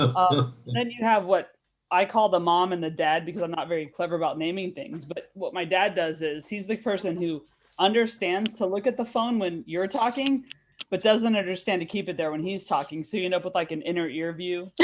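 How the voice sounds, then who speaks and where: This woman has an unremarkable speaking voice at medium pitch. She talks at a fairly quick pace with ordinary pitch variation. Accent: American. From United States. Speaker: comedian. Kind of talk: stand-up. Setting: video call.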